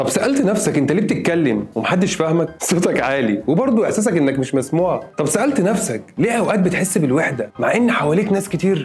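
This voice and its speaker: Music plays behind a man with a high pitch. He talks at a fairly quick pace, his voice swinging very widely in pitch. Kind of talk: casual motivational talk to camera.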